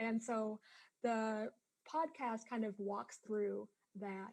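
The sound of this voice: Slow and slightly mellow, a woman's fairly high voice carries vocal fry and fairly even intonation.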